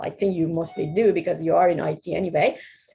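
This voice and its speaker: A woman's dark, mellow voice rises and falls in an ordinary way. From Iran. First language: Persian. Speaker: software/security professional. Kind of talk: presentation talk. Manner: halting, many repetitions.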